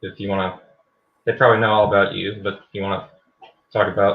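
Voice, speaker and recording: A man speaks at a very fast pace. His pitch sits fairly low. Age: 20s. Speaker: debater, science channel creator. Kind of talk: debate. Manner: monotone.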